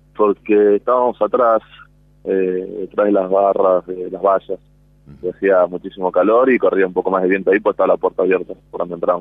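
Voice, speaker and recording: Speaking fairly quickly with a Rioplatense accent, a man shows big swings in loudness. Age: 20s. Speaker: disaster survivor. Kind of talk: testimony. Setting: outdoors at a memorial event outside a nightclub. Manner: halting.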